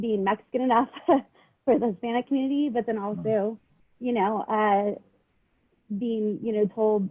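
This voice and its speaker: Pausing long and often, a woman speaks at a moderate pace in a fairly high pitch with fairly even intonation. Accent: Southern California. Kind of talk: panel discussion.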